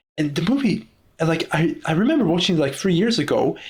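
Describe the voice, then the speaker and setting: A man with a Czech accent, high-pitched and very fast, with very wide pitch swings. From Czech Republic. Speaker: podcaster. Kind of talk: casual monologue. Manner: halting, frequent repetitions.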